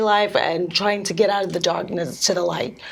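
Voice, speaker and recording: Noticeable background noise and audible room echo surround the voice. The speech moves at a fairly slow pace. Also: woman. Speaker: speech pathologist and swimwear entrepreneur. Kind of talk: interview. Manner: halting.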